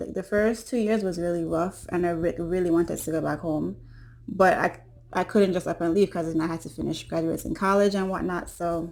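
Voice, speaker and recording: Talking in a Caribbean accent, a woman keeps a fairly quick pace, with a fairly low pitch and fairly even intonation. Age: 20s. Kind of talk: casual talk to camera.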